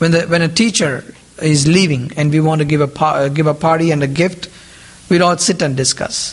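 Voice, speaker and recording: Very even loudness at a fairly quick pace, with noticeable background noise. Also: man, fairly high pitch for a man. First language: Indian regional language (mother tongue). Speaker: lay preacher. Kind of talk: sermon. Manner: animated, rhetorical questions.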